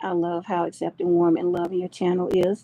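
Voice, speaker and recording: With an American accent, a woman speaks at medium pitch. Her tone is dark and mellow. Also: dry, close sound with no echo. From Georgia, US South. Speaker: livestream host. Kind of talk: casual chat. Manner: chatty, warm.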